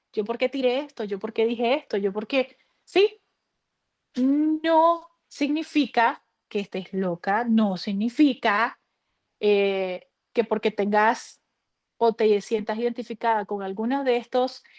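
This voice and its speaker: Against a quiet background, a woman speaks very slowly at a fairly high pitch with ordinary pitch variation, the sound dry and close with no echo. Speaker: mental health speaker. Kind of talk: online workshop talk.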